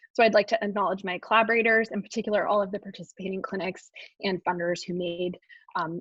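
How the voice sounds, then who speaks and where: A woman speaks very fast at a medium pitch, her intonation fairly even. The sound is dry and close, with no echo. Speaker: psychology researcher presenting study findings. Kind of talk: webinar lecture presentation. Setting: online webinar.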